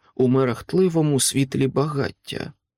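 Quiet background, unforced reading voice, fairly even intonation

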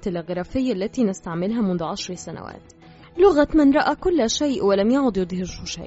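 Lively intonation colors a natural reading voice.

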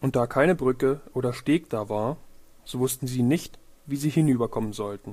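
Medium in pitch with ordinary pitch variation, a man speaks at a moderate pace in a slightly mellow tone.

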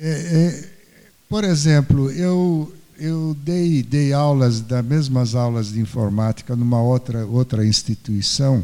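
At a very slow pace, a man talks in a dark, mellow tone with a medium pitch and ordinary pitch variation. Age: old. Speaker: retired engineer, volunteer computer teacher. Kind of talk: panel discussion. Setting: stage with audience. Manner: halting, repeats words.

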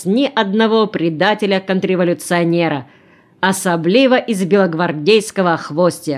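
This natural reading voice moves through ordinary pitch variation.

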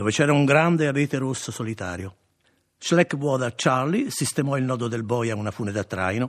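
Reading aloud in a natural voice, the speaker shows ordinary pitch variation over a quiet background.

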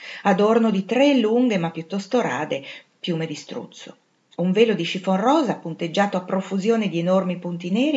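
Quiet surroundings behind a natural reading voice

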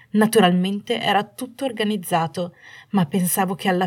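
Someone reads aloud in a natural voice. The intonation is fairly even.

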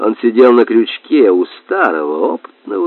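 What you hear is an unforced reading voice.

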